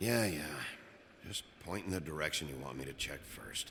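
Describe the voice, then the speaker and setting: Using a raspy, put-on character voice, a man talks at a moderate pace in a very deep, low pitch over clear background noise. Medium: video game. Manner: curt, gruff.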